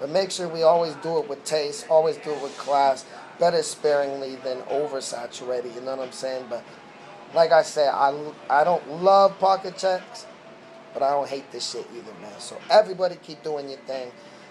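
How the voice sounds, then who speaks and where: Against noticeable background noise, a man with a fairly high pitch speaks at a moderate pace with ordinary pitch variation and big swings in loudness. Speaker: battle rap commentator. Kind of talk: video commentary. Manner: casual slangy.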